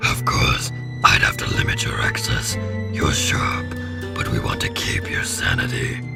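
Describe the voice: A man in a put-on character voice speaks at a fairly slow pace with vocal fry, an extremely low pitch and very wide pitch swings, over loud music in the background.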